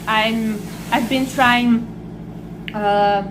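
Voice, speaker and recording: Against noticeable background noise and audible room echo, a woman with a Portuguese accent speaks at a very slow pace and a fairly high pitch. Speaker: vlogger. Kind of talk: casual vlog while eating. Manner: halting.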